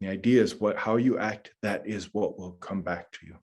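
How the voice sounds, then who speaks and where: The intonation stays fairly even in a plain, everyday voice. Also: man. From US Midwest, north central Minnesota. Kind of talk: lecture.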